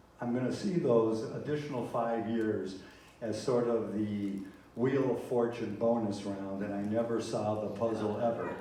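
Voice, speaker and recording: A man at a moderate pace and medium pitch, with audible room echo and noticeable background noise. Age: 70s. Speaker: comedian. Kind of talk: stand-up. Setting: stage with audience.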